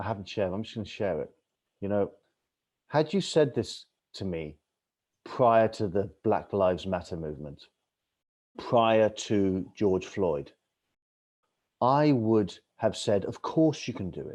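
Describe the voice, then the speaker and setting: With an English accent, a man talks at a fairly slow pace and a fairly low pitch, leaving long, frequent pauses. His intonation is lively, and his loudness swings widely. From England. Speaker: author and travel TV host. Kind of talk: podcast interview. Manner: animated.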